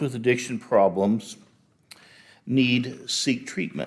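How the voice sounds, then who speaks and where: A man speaks at a medium pitch and a moderate pace in an ordinary speaking voice. The recording is very clean, with a silent background. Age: 60s. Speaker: public commenter, retired chemical engineer. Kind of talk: prepared public comment at city council. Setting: city council meeting. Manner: formal.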